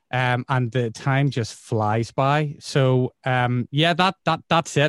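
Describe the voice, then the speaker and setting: A man with a Northern Irish accent speaks very slowly at a medium pitch with fairly even intonation, in a dry, close sound with no echo. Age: 40s. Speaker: radio presenter. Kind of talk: casual interview. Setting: video call.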